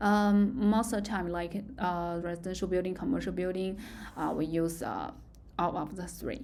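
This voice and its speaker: A woman with a Chinese accent speaks at a medium pitch, her intonation fairly even, with audible room echo. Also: moderate pace. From China. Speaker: university lecturer. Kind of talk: lecture. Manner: halting.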